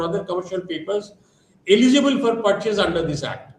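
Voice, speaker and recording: A man talks with an Indian accent at a high pitch. Audible room echo surrounds his voice. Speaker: lecturer. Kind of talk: lecture. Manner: fast.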